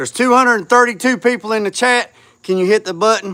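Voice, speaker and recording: A man speaks loudly at a fairly quick pace in a bright, sharp tone. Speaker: YouTuber restoring a classic car. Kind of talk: livestream chat with viewers. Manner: halting, many fillers.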